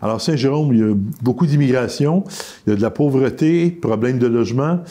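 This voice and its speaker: A man's medium-pitched voice at a fairly quick pace, very even in loudness with ordinary pitch variation, over noticeable background noise. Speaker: politician. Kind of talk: interview. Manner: fast.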